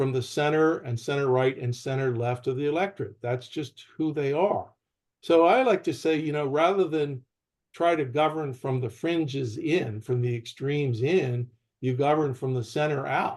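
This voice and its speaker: At a moderate pace, with ordinary pitch variation, comes an ordinary speaking voice with an American accent. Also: man, fairly high pitch for a man. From Pittsburgh, western Pennsylvania. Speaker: open primaries advocate. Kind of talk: panel discussion.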